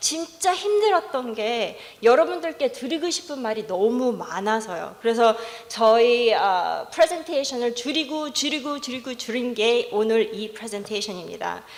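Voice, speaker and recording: Very wide pitch swings in an English accent at a moderate pace, amid noticeable background noise and audible room echo. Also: woman, high pitch for a woman. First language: English (speaking Korean). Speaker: professor. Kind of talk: conference presentation. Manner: halting.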